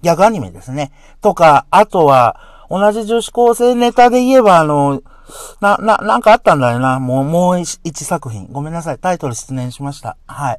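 Here a man speaks in a high pitch at a moderate pace. Both his pitch and his loudness swing widely. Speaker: podcaster. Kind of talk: casual monologue. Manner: animated.

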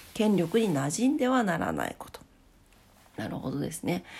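A woman talks with vocal fry. Her pitch swings very widely. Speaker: solo podcast host. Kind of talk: casual morning monologue.

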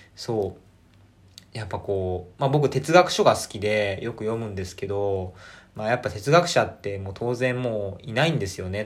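The man's voice sits fairly low in pitch and comes across somewhat breathy. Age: 20s. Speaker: podcaster. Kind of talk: casual solo talk. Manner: animated.

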